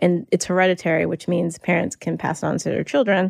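A woman's fairly low voice in an American accent, with vocal fry and ordinary pitch variation, dry and close with no echo, on a very clean recording against a silent background. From US South, North Carolina. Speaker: attorney, writer and health awareness advocate. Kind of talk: interview, personal testimony.

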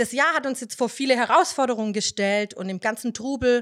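Lively intonation from a woman at a fairly quick pace, in a very clean recording with a silent background. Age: 30s. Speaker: nursery teacher and church children's leader. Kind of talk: casual devotional talk.

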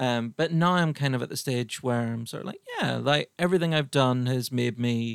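Lively intonation marks this man's fairly quick pace, captured as a dry, close sound with no echo. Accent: Irish. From Ireland. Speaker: podcast host and comedian. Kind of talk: casual chat.

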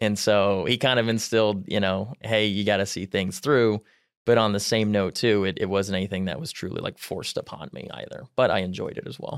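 This man talks at a fairly quick pace, his pitch fairly low with ordinary variation. The recording is very clean, with a silent background. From US Midwest, Mount Pleasant, Iowa. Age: 20s. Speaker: financial advisor. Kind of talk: interview.

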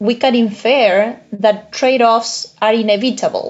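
Speaking very slowly, a woman with a Spanish accent uses a high pitch. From Uruguay. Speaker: economics professor. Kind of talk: interview.

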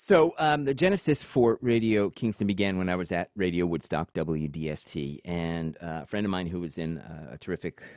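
A man at a moderate pace, recorded dry and close with no echo. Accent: American. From New York, Long Island (Suffolk County). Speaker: radio broadcaster and station founder. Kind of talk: interview conversation.

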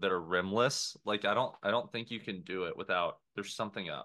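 A man's fairly low-pitched, a plain, everyday voice with ordinary pitch variation. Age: 20s. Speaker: podcast co-host. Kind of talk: casual banter chat. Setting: video call.

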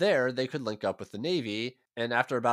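Heard over a quiet background, this is a natural reading voice.

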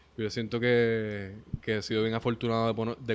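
A man speaks with a Puerto Rican accent. His pitch is medium and his pace moderate. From Puerto Rico, Ponce. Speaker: musician. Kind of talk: casual interview chat.

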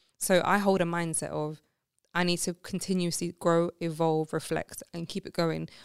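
A woman speaks at a moderate pace in a fairly low, monotone voice with flat intonation, the sound dry and close with no echo. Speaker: podcast founder and single mother. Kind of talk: casual chat. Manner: direct.

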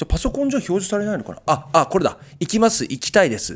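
Pitched high, a man talks at a fairly quick pace. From Japan, Kitakyushu, Fukuoka. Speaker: singer-songwriter and podcast host. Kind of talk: casual chat.

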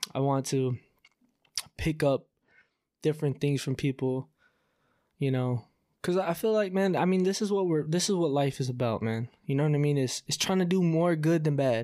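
On a very clean recording with a silent background, a man with a fairly high pitch and ordinary pitch variation talks at a moderate pace, with very even loudness and long, frequent pauses. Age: 20s. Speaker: podcast host. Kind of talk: solo vent monologue. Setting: recording at home on camera. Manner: casual, many fillers.

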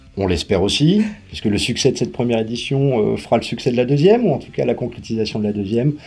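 Speaking at a very fast pace, a man has a dark, mellow tone and ordinary pitch variation. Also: medium pitch for a man. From Paris, France. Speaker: event organizer. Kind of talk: interview.

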